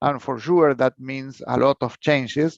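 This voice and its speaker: A man speaks with a Spanish accent at a fairly high pitch and fairly even intonation. The pace is fairly slow and the sound is dry and close with no echo. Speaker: researcher and professor. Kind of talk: conference lecture. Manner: halting, many fillers and repetitions.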